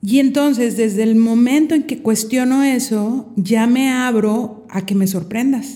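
Dark, mellow and somewhat breathy, a woman's voice moves at a fairly slow pace with ordinary pitch variation. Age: 50s. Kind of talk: casual chat.

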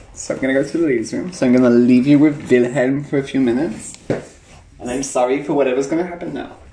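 The speech runs at a very fast pace with hardly any pauses and fairly even intonation. Noticeable background noise is present. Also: man, fairly high pitch for a man. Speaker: podcast co-host. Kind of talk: casual chat.

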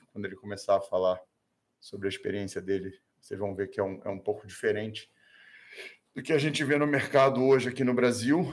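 Speaking at a fairly quick pace, a man talks with a Brazilian accent. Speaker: self-defense trainer. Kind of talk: casual interview.

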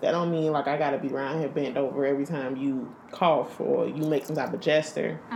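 Through noticeable background noise, a woman speaks with a very deep, low pitch and monotone, flat intonation. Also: fairly quick pace, hardly any pauses. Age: 20s. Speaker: podcast host. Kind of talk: casual chat.

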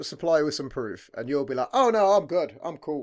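In a British accent, a man with a fairly high voice talks with very wide pitch swings on a very clean recording with a silent background. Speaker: podcast host. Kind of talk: casual chat interview. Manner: swears a lot.

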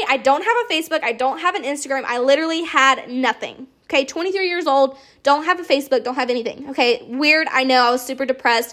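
At a very fast pace and high pitch, a woman with an American accent projects a raised voice, her tone animated, bright and sharp, her intonation lively. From US South. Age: 20s. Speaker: podcast host, network marketer. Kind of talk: casual monologue.

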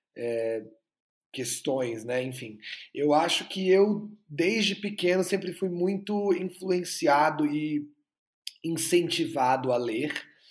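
Fairly high in pitch, a man speaks at a very slow pace with lively intonation. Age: 20s. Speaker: actor and filmmaker. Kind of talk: interview.

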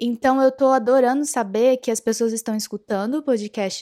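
The recording is very clean, with a silent background and a dry, close sound free of echo. A woman speaks with a fairly high pitch and a dark, mellow tone. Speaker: podcast host on spirituality and self-knowledge. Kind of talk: casual monologue. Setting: podcast recording.

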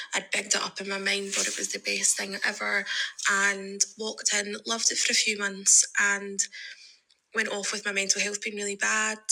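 A woman with a Scottish accent speaks at a medium pitch in a monotone, flat intonation, with noticeable background noise. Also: moderate pace. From Scotland. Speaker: listener sending a voice memo. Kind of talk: testimony. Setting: recorded voice message.

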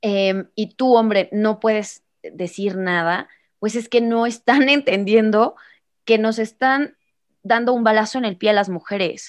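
A woman's normal speaking voice, fairly high in pitch with fairly even intonation, at a fairly slow pace against a quiet background. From Mexico, Irapuato, Guanajuato (Bajío). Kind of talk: casual interview.

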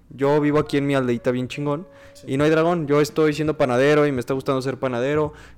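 A man with a Mexican accent talks at a very fast pace with monotone, flat intonation and big swings in loudness. Music plays in the background. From Mexico. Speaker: podcast co-host. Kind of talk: casual chat.

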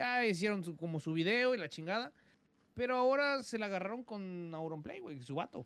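A high-pitched man with a Mexican accent, lively intonation and a moderate pace. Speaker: podcast co-host. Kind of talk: casual chat.

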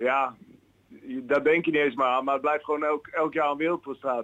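A man with a plain, everyday voice speaks at a fairly high pitch with fairly even intonation, the sound dry and close with no echo. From Kampen, Netherlands. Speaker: football player agent. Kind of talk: casual chat. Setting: phone call.

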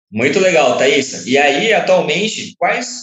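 An unremarkable speaking voice from a man, full of lively intonation. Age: young. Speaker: podcast co-host. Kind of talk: interview.

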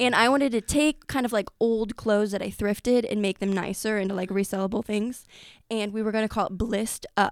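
An unremarkable speaking voice, fairly quick and fairly even in intonation, with a dry, close sound and no echo. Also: woman, fairly high pitch for a woman. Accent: American. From US Midwest, Effingham. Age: 20s. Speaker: small business founder. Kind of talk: casual interview. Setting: studio.

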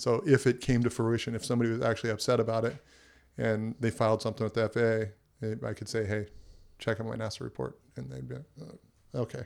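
A man with an American accent and vocal fry, medium-pitched with ordinary variation, very fast, on a very clean recording with a silent background. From Southern California. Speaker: entrepreneur and helicopter pilot. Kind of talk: casual chat. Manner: hesitant, with frequent fillers and restarts.

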